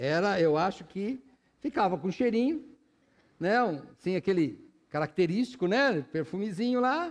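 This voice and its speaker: A man talks slowly at a high pitch, leaving long, frequent pauses. His pitch swings very widely. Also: quiet background. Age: 60s. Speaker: pastor. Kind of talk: sermon. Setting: church.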